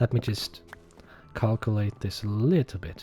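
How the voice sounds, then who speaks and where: Music plays in the background as a man speaks. He has a non-native accent and keeps a moderate pace. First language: not English. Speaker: gaming YouTuber, accountant. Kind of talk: casual gameplay commentary. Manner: relaxed, conversational.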